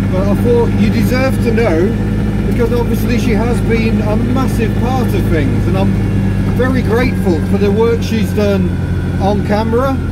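A man talks at a moderate speed while loud noise fills the background. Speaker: vlogger driving. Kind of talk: casual vlog chat. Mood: reflective, somewhat subdued. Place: car. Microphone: phone near.

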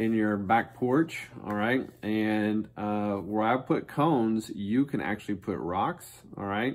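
This man speaks at a very slow pace. His fairly low voice shows ordinary pitch variation. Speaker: school PE teacher. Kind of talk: casual instructional chat to students. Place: office. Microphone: phone near.

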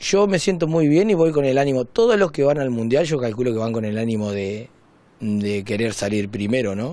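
This man talks at a moderate pace with a dark, mellow tone and lively intonation. The sound is dry, with no echo. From Argentina, Entre Ríos (Diamante); Entre Ríos, Argentina. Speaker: amateur canoeist. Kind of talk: interview. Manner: halting. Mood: calm, upbeat. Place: home room. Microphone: handheld.

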